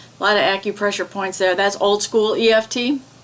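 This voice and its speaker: With a slight Midwestern accent, a woman talks at a moderate pace, her medium pitch carried by fairly even intonation. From US Midwest. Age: 70s. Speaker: EFT tapping practitioner. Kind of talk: guided tapping session.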